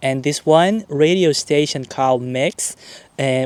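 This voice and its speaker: A strong Brazilian accent with fairly even intonation, in a dry, close sound with no echo. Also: man. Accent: thick Brazilian Portuguese. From Brazil, small town. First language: Portuguese. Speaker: YouTuber. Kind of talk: casual vlog talk to camera. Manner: casual with hesitations.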